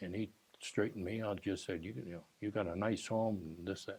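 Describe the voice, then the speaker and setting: A man with an American accent has a dark, mellow tone and a fairly low pitch. His intonation is fairly even. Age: 80s+. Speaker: retired teacher and school administrator. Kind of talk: oral history interview. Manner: halting.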